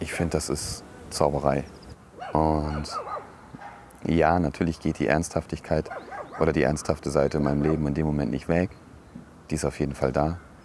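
Over noticeable background noise, a man with a very deep, low pitch talks at a moderate pace in a monotone, flat intonation, with long, frequent pauses. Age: 30s. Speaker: podcaster, educator and DJ. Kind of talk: casual monologue. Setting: outdoors on a bench.

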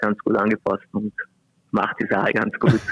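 Medium-pitched male speech, close and dry without any echo. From Vorarlberg, Austria. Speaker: handball player. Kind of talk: interview.

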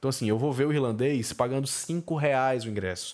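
Ordinary pitch variation in a man's medium-pitched voice. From Brazil, Fortaleza (Ceará). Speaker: film critic and podcaster. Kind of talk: solo podcast monologue.

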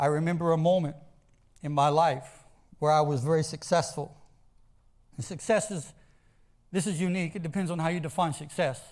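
A man with an American accent talks at a fairly quick pace, his pitch fairly high and his intonation fairly even. Long, frequent pauses break up his speech, and room echo is audible. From US South. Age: 40s. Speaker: pastor. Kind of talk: sermon. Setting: church, streamed live.

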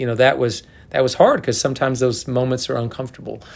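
A man with a medium-pitched voice talks fairly quickly. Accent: American. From Oklahoma. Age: 60s. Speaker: college golf coach. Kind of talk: interview.

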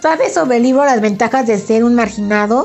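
A woman with a central Mexican accent at a moderate pace, with music in the background. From Mexico, Puebla. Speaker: podcast host, book blogger. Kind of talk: casual solo podcast monologue.

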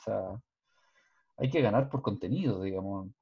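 Somewhat breathy and dark, mellow in tone, a man's voice moves with lively intonation. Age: 40s. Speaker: podcast co-host. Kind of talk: casual panel discussion.

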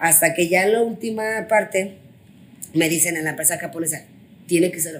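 Ordinary variation marks the pitch. There is a somewhat breathy quality to the voice. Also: woman. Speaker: finance executive and business owner. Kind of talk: interview. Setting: hotel room.

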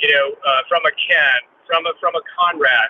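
You hear a man's voice. He talks fairly slowly. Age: 60s. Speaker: commercial real estate broker. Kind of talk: casual panel discussion.

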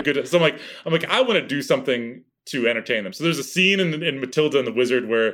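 The speech is loud and comes at a very fast pace. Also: man. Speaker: actor and impressionist. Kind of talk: casual chat. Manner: animated.

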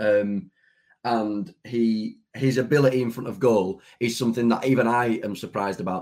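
At a moderate pace, a man talks in a plain, everyday voice with medium pitch and ordinary pitch variation. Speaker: football fan podcaster. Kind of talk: casual chat.

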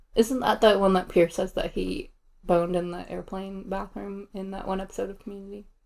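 In a plain, everyday voice, a woman speaks at a medium pitch and a fairly quick pace, her intonation fairly even but her loudness swinging widely. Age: 30s. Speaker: podcast co-host. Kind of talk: casual chat with storytelling.

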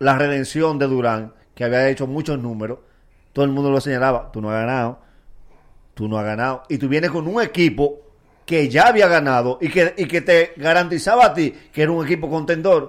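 Using an unremarkable speaking voice, a man talks at a fairly high pitch and a fairly quick pace with lively intonation. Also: very clean recording, silent background. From Dominican Republic, Nagua area. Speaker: comedian. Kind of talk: casual chat. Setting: studio.

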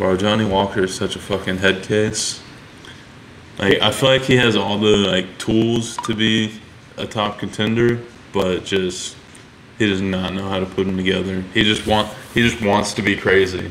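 Amid noticeable background noise, a man speaks at a moderate pace in a fairly low, flat, monotone voice. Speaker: fighter and podcast host. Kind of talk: casual chat over beers. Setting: recording in Florida, drinking beers. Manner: casual, profane.

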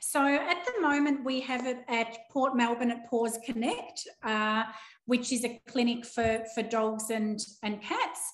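A woman with an Australian accent, high in pitch with ordinary pitch variation, at a fairly slow pace. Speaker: animal naturopath. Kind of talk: interview. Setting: video call.

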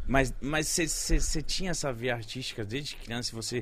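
A man's fairly high, bright, sharp voice in an animated tone, on a very clean recording with a silent background. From Brazil, North (Belém). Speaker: podcast host. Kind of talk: casual chat.

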